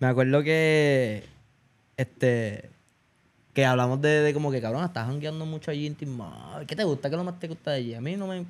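Ordinary pitch variation and a moderate pace mark this voice with a Puerto Rican accent. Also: man, fairly high pitch for a man. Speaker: podcast host. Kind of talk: casual chat.

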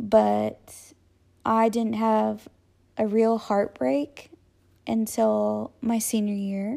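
Leaving long, frequent pauses, a woman with an American accent speaks at a very slow pace. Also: very clean recording, silent background. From Texas, Austin. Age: 20s. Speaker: podcast host. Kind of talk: personal monologue. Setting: home living room.

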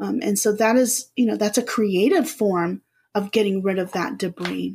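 At a moderate speed, a woman talks in an ordinary speaking voice. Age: 40s. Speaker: spiritual healer and hypnotherapist. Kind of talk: casual interview.

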